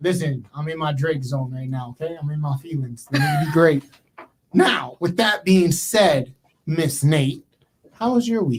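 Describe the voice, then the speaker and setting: A man's fairly high, somewhat breathy voice at a fairly slow pace, with ordinary pitch variation. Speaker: podcast host. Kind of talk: casual chat. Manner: subdued, low energy.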